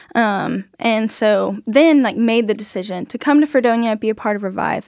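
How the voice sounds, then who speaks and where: At a moderate pace, a woman uses an unremarkable speaking voice, fairly high in pitch, with ordinary pitch variation. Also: very clean recording, silent background. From Texas, Houston area (Huffman). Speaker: nursing student. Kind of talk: casual interview, testimony.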